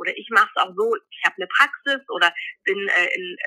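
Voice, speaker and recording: A woman speaks at a fairly quick pace. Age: 40s. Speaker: midwife. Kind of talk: interview.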